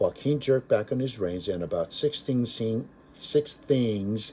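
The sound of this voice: The reading voice here is unforced.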